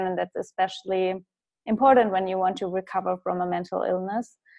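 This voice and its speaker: In a German accent, a woman speaks at a medium pitch. Her intonation is fairly even. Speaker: business and mindset coach. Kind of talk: interview.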